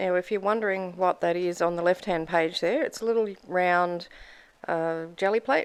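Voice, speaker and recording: In an Australian accent, a woman speaks at a moderate pace and medium pitch, with fairly even intonation. Her loudness stays very even against a quiet background. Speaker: mixed media artist, craft YouTuber. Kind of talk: tutorial. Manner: casual, chatty.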